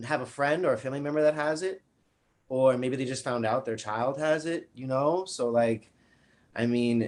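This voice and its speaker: A man talks with a strong New York accent at a moderate pace. His voice sits at medium pitch. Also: ordinary pitch variation. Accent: thick New York. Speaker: interviewer. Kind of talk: interview. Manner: halting, repetitive.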